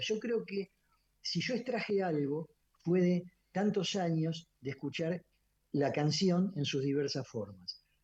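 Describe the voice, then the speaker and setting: A high-pitched man talks with lively intonation. His pace is very slow. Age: 70s. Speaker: orchestra conductor and musician. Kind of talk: radio interview. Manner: halting, many fillers and repetitions.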